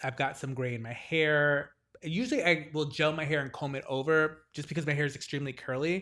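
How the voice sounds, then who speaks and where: A man speaks at a fairly quick pace in a fairly high pitch with an animated tone. The recording is very clean, with a silent background. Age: 40s. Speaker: podcast co-host. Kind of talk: casual chat.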